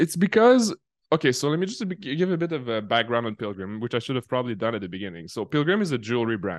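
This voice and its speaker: Someone with a French accent talks at a very fast clip, the pitch leaping widely up and down, in a dry, close recording with no echo and a quiet background. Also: man, medium pitch for a man. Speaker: marketing executive and consultant. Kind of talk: casual interview chat. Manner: conversational, filler-heavy.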